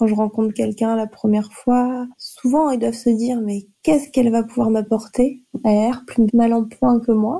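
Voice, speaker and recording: A woman with a dark, mellow tone and a fairly high pitch speaks at a moderate pace with fairly even intonation. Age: 30s. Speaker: nurse. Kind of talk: testimony.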